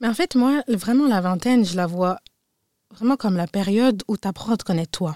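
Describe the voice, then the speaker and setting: At a fairly quick pace, a woman speaks at a medium pitch in a dark, mellow tone with lively intonation, dry and close with no echo in a very clean recording with a silent background. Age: 20s. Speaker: podcast co-host. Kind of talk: casual chat.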